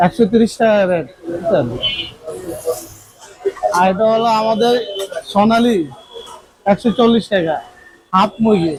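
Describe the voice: A man speaks in a high pitch. His delivery has long, frequent pauses. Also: ordinary pitch variation, fairly slow pace.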